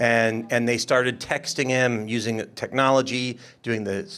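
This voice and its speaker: A man at a medium pitch on a very clean recording with a silent background. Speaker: state legislator. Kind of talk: panel discussion. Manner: loud.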